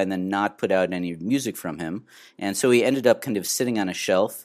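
A man with a normal speaking voice at a fairly low pitch and ordinary pitch variation, talking at a fairly quick pace on a very clean recording with a silent background. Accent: American. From Minnesota. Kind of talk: interview.

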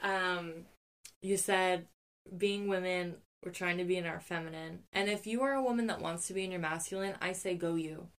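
Speaking at a moderate pace, a woman uses an unremarkable speaking voice at medium pitch. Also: fairly even intonation. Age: 30s. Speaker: podcast host. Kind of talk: casual chat. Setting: recorded in a walk-in closet.

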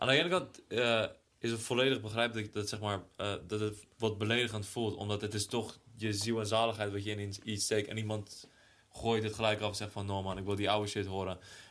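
A man's fairly low voice at a fairly quick pace, monotone and flat in intonation. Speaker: podcast co-host. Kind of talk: casual chat.

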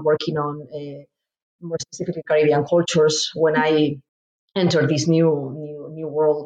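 A woman with a Spanish accent, very deep and low in pitch, at a moderate pace. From Spain. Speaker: professor. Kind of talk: interview. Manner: halting.

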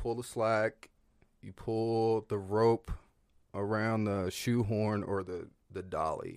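An ordinary speaking voice: a man, fairly low-pitched, at a fairly slow pace, with a very clean recording and a silent background. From Northern Virginia, US. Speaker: cowboy and clothing brand owner. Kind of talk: casual chat.

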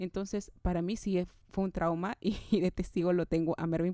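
This woman's voice has a dark, mellow tone. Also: dry, close sound with no echo. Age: 30s. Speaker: podcast host, motivational speaker. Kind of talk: solo motivational podcast monologue. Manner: energetic, enthusiastic.

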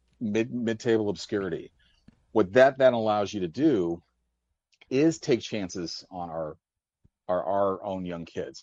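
A man with a Midwestern accent, fairly low in pitch, with lively intonation, a fairly slow pace, long and frequent pauses, and big swings in loudness. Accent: American Midwest. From US, St. Louis. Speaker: caller. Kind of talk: phone-in call. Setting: phone call.

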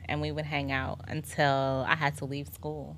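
A woman with a New York accent speaks with a bright, sharp tone and vocal fry on a very clean recording with a silent background. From Staten Island, New York. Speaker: wife in couple interview. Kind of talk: casual interview.

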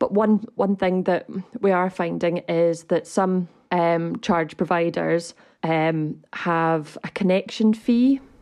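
The voice has a Scottish accent and moves at a very slow pace. Its pitch variation is ordinary. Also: woman, fairly low pitch for a woman, very even loudness. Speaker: electric vehicle advocacy group director. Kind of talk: casual chat. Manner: hesitant, many fillers.

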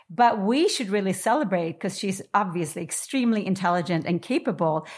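A woman's ordinary speaking voice in an American accent, medium in pitch and moderate in pace. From New York. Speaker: podcast host and coach. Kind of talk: interview. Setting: video call.

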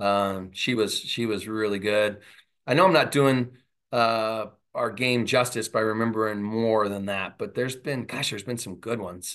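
A man with an American accent speaks at a moderate pace and medium pitch. His intonation is fairly even against a quiet background. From Southern California. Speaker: college softball head coach. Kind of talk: interview.

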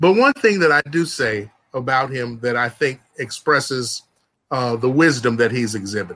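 The man's tone comes across bright and sharp. He keeps to a moderate pace. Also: medium pitch for a man, ordinary pitch variation. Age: 60s. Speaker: attorney. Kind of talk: panel discussion.

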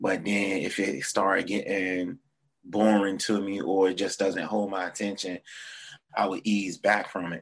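A man speaks at a fairly low pitch with a Virginia Tidewater accent. His intonation is monotone and flat. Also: fairly slow pace. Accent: Virginia Tidewater (757). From Norfolk, Virginia. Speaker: musician and band leader. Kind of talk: casual interview chat. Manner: casual, filler-heavy, slangy.

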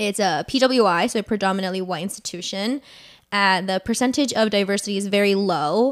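A woman talks in an ordinary speaking voice at medium pitch and a fairly quick pace, with ordinary pitch variation, on a very clean recording with a silent background. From US, Northern Virginia. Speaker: podcast co-host. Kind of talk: casual chat.

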